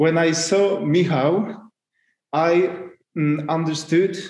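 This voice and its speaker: A very slow man's voice in a Polish accent, with ordinary pitch variation. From Poland. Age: 40s. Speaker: custom car parts business owner. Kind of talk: casual interview. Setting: video call. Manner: halting, many fillers.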